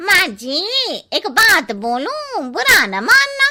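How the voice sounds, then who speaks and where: A woman does a cartoonish character voice at an extremely high pitch, with very wide pitch swings. She speaks at a very slow pace. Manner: blunt.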